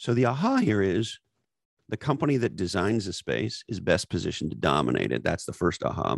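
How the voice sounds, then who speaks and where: Recorded very cleanly against a silent background, a man speaks at a fairly quick pace in a dry, close sound with no echo. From Canada, Montreal area. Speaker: author and former marketing executive. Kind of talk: interview. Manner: animated.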